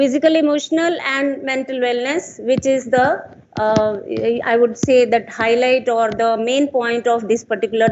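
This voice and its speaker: Loud and high-pitched, a woman talks at a moderate pace with ordinary pitch variation. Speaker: conference speaker. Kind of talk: conference talk. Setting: stage with audience.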